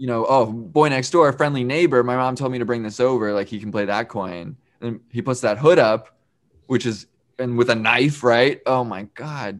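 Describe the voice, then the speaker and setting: A very clean recording of a man at medium pitch, with ordinary pitch variation and a silent background. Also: moderate pace. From New York. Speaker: podcast host. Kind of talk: casual chat.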